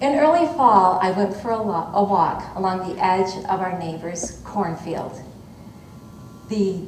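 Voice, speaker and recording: A woman with an American accent at a very slow pace, ordinary pitch variation, and noticeable background noise. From Michigan. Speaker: storyteller. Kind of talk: live folktale telling to an audience. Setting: auditorium stage.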